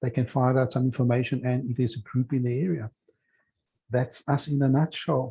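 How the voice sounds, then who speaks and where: A man speaks in a somewhat breathy voice. He has a strong South African accent. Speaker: children's football program owner. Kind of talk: casual chat.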